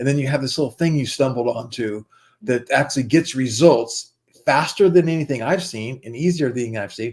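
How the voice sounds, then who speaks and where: A man with a medium pitch and an unremarkable speaking voice at a moderate pace. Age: 60s. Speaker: investment and digital marketing partner. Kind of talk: sales pitch. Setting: livestream.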